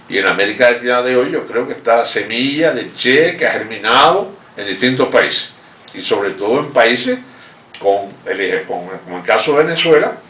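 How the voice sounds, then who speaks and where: A man keeps to a moderate pace as noticeable background noise carries on around him. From Cuba, Holguín. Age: 70s. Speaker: revolutionary veteran and economic adviser. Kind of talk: interview testimony. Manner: halting, with frequent repetitions.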